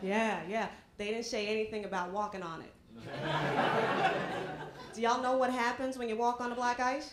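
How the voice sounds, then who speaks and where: Loud background noise surrounds a woman speaking in a playful tone. She keeps a moderate pace with ordinary pitch variation. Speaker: stand-up comedian. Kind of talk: stand-up comedy set, punchy airport-travel bits. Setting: stage with audience. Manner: conversational, crowd-engaging with repeated 'Right?' tags; playful, laughs at her own jokes. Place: bar. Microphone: handheld.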